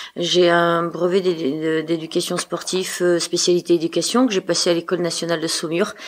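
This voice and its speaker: A woman speaks in a fairly low voice with monotone, flat intonation while noticeable background noise plays. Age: 60s. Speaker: trail club leader and race organizer. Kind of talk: podcast interview. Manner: talkative, hesitant.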